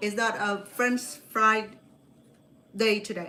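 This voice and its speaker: A woman with a slight Cambodian accent at a very slow pace, over noticeable background noise. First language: Khmer. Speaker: cooking show host. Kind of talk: live cooking demonstration. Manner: chatty, informal; halting with repetitions.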